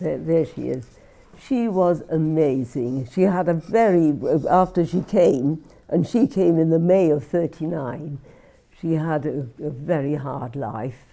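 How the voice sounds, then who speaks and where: A woman's very deep, low voice with a dark, mellow tone, lively intonation and a fairly slow pace, on a very clean recording with a silent background. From Wales, Merthyr Tydfil. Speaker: Holocaust refugee interviewee. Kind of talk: oral history interview. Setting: filmed interview.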